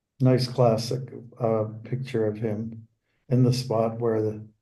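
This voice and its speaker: A man speaks at a fairly slow pace in a medium-pitched, monotone voice with flat intonation, somewhat breathy with a dark, mellow tone. The room echo is audible. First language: Dutch. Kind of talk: casual chat before a scripture class.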